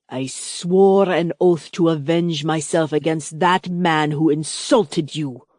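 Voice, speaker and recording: Putting on a gruff, growling character voice, a woman speaks at a fairly slow pace with a fairly low pitch and fairly even intonation over a quiet background. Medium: read story.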